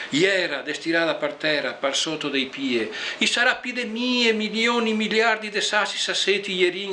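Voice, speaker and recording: The speaker has a Venetian accent and lively intonation. The pace is moderate, and there is noticeable background noise. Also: man. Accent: Venetian Liventina dialect. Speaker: poet. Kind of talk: poetry reading.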